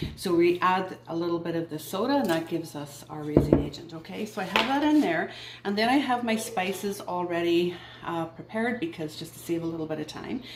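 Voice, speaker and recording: Her pitch fairly low, a woman talks at a fairly quick pace with lively intonation. Noticeable background noise and audible room echo are present. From Northern Ireland. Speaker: home baking video host. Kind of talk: cooking tutorial. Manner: friendly, chatty.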